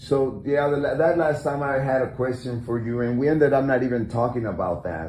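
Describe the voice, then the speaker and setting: Amid noticeable background noise, the speech runs at a fairly quick pace with hardly any pauses and ordinary pitch variation. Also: man, medium pitch for a man. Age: 50s. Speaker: live stream host. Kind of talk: casual chat.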